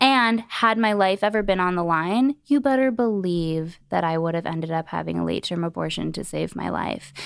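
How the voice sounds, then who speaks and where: A woman with an ordinary speaking voice talks at a fairly low pitch and a moderate pace. Her intonation is lively, and she takes hardly any pauses. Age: 20s. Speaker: former reality TV personality and birth doula. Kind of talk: casual chat.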